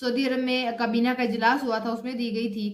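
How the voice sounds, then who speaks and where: Fairly high, monotone, flat speech from a woman at a moderate pace, with audible room echo. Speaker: news vlogger. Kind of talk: news commentary. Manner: halting with fillers.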